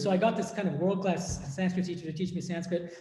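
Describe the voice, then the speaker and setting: A man's high-pitched voice with a Boston accent, at a fairly quick pace, with audible room echo. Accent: American (Boston) English. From US, Boston area. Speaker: monk and philosophy professor. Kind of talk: academic discussion Q&A. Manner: hesitant, repeats words.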